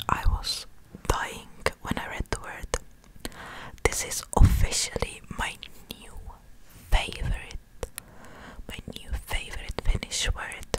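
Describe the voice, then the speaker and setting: Soft-spoken and whispering, a woman talks at a very slow pace with long, frequent pauses and big swings in loudness. The sound is dry with no echo, and there is noticeable background noise. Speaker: content creator. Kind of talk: soft-spoken ASMR-style word lesson. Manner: soft close-mic ASMR whisper. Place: home room. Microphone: studio mic.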